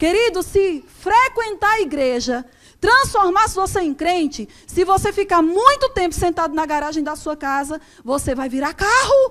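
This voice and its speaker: A woman's extremely high pitch swings very widely in a bright, sharp tone. She talks at a fairly slow pace. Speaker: preacher. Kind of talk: sermon. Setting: church. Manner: animated.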